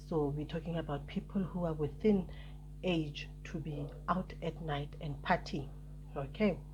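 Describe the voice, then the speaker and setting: A woman's very deep, low voice with vocal fry, fairly even intonation, a fairly slow pace and audible room echo. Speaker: YouTuber giving business advice. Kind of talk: vlog talk to camera. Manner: hesitant, many fillers.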